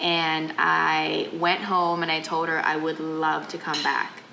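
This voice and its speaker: A Thai accent amid noticeable background noise and audible room echo. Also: woman. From Thailand (Bangkok), half Thai half American. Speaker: chef and restaurant owner. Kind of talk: interview. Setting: in a restaurant.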